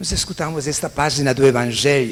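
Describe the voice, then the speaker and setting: A man speaks with a non-native accent. Noticeable background noise is present. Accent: foreign accent in Portuguese. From Italy. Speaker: priest. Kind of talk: sermon.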